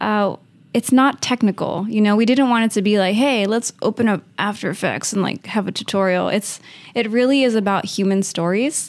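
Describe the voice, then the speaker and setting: In an ordinary speaking voice with an American accent, a woman talks at a moderate pace, her medium pitch showing ordinary pitch variation. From Uvalde, Texas, US. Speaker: marketing operations head and MBA student. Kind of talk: casual interview.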